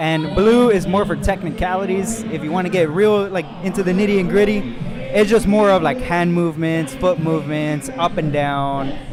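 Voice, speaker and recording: A man speaks at a high pitch. Music plays in the background, and room echo is audible. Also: ordinary pitch variation, moderate pace. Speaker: powerlifting referee and meet commentator. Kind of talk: live commentary.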